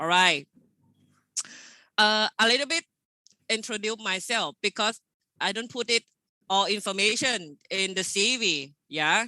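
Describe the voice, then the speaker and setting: Delivery is fairly slow, with lively intonation and long, frequent pauses, in a Thai accent. The tone is bright and sharp, and the sound is dry and close with no echo. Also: woman, fairly high pitch for a woman. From Thailand. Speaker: engineer, project manager. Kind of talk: webinar presentation. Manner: casual, friendly.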